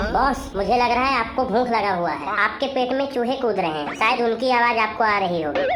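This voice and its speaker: A cartoonish character voice that sounds female speaks at a fairly quick pace and a fairly high pitch, with slight echo and loud background noise. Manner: cheeky, dramatic.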